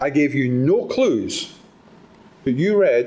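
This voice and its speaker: With a Scottish accent, a man speaks at a very slow pace, and room echo can be heard. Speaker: motivational speaker. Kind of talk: talk to live audience. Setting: stage with audience. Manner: animated.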